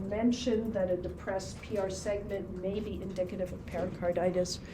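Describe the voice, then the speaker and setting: A woman is speaking. Room echo can be heard. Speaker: ECG instructor. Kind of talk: classroom lecture. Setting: classroom with students.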